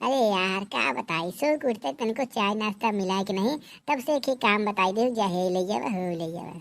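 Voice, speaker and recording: Using a cartoonish character voice, the speaker moves at a moderate pace with lively intonation. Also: woman, medium pitch for a woman. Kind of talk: rustic comedy. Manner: grumbling, folksy.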